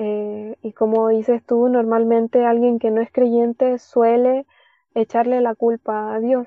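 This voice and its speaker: Her pace is very slow and her intonation monotone and flat. The woman's pitch sits fairly high. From Chile, Caldera (Atacama region). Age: 20s. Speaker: worship leader and theology student. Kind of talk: testimony.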